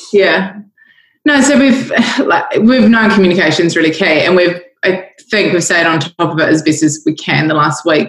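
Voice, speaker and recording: With lively intonation and a somewhat breathy quality, a woman speaks at a moderate pace in a fairly low pitch. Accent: New Zealand. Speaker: coffee company executive. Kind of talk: casual interview. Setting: conference call from home kitchen.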